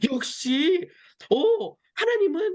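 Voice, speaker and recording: This woman's voice sits at an extremely high pitch and has an animated tone. Her pitch swings very widely. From Seoul, South Korea. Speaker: missionary. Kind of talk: interview testimony.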